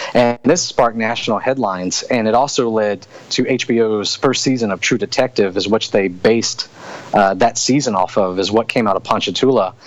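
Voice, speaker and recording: Against noticeable background noise, a man with a Louisiana accent speaks at a medium pitch and a moderate pace with ordinary pitch variation. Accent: southern US (Louisiana). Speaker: author and soldier. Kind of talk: interview. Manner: casual.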